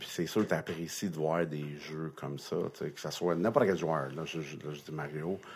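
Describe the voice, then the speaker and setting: This man speaks at a moderate pace with a very deep, low pitch. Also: fairly even intonation. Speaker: retired NHL linesman. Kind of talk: interview storytelling. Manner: halting.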